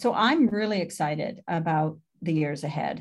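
An unremarkable speaking voice from a woman, fairly low in pitch with ordinary pitch variation, at a moderate pace on a very clean recording with a silent background. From Canada (Ontario). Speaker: university president. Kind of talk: interview.

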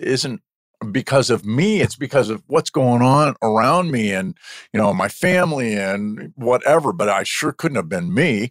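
A dry, close sound with no echo, very wide pitch swings, a moderate pace and big swings in loudness, on a very clean recording with a silent background. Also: man. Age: 60s. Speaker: entrepreneur and coach. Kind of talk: interview.

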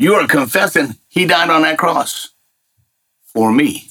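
A man's fairly high voice with vocal fry, a bright, sharp tone and very wide pitch swings. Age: 60s. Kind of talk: casual spiritual conversation.

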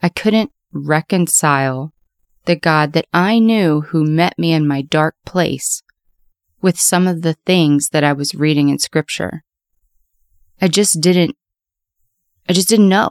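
A woman speaks at a fairly slow pace with long, frequent pauses, her loudness very even and her pitch varying in an ordinary way. The recording is very clean with a silent background, and the sound is dry and close with no echo. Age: 30s. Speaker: podcast host. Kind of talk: personal testimony monologue.

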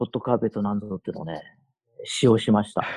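The sound is dry and close, with no echo. The voice is somewhat breathy. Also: man. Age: 60s. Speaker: camper with 30+ years experience. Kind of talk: casual interview chat.

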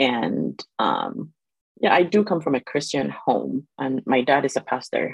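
A woman's voice, dry and close with no echo. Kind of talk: casual interview conversation.

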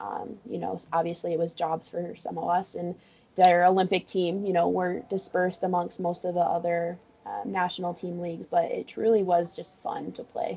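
A woman with an American accent has an ordinary speaking voice, fairly low in pitch, at a moderate pace. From California. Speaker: college water polo coach. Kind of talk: casual interview. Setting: office at pool deck.

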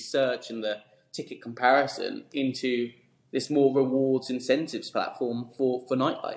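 Here a man speaks with a southern English accent. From southern England, Surrey. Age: 20s. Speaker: startup founder. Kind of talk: interview. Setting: office.

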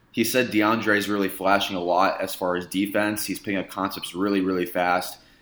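Speaking in an American accent, a man has a fairly low pitch and a monotone, flat intonation. He moves at a fairly quick pace. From US Midwest, Indiana. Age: 20s. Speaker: sports reporter and podcast host. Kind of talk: casual chat.

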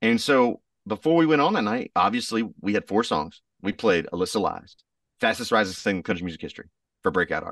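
Against a quiet background, a man with a Southern US accent talks at a very fast pace in a dry, close sound with no echo. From US South. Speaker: country singer. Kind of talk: casual interview.

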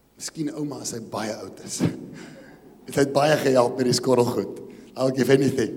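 Over noticeable background noise, a man with a South African accent speaks at medium pitch and a moderate pace, with fairly even intonation. His loudness swings widely, and long pauses come often. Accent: Afrikaans South African English. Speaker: pastor. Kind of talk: sermon. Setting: church.

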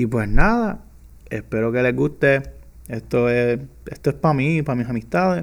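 This man speaks at a moderate pace with lively intonation and a medium pitch. He leaves long, frequent pauses. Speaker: podcast host. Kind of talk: casual monologue. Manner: casual, Spanglish code-switching. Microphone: new microphone.

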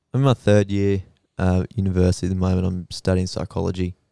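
A man with an Australian accent has a very deep, low pitch and a dark, mellow tone, speaking at a moderate pace. The very clean recording has a silent background and a dry, close sound with no echo. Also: long, frequent pauses. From Australia, Queensland (Rockhampton area). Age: 20s. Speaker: psychology student. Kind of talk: casual chat.

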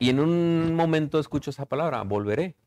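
A man with an unremarkable speaking voice, lively intonation and a moderate pace. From Mexico, Ticumán, Morelos. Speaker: chef and restaurateur. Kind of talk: casual interview. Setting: on location in his restaurant.

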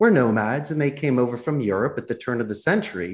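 With an American accent, the speaker has an unremarkable speaking voice and ordinary pitch variation. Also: man. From Philadelphia, US. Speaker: business owner living abroad. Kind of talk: casual interview.

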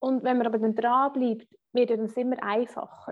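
A woman talks at a moderate pace in a high voice. Her intonation stays monotone and flat. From rural Switzerland. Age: 30s. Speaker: finance blogger and podcaster. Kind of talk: interview. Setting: video call.

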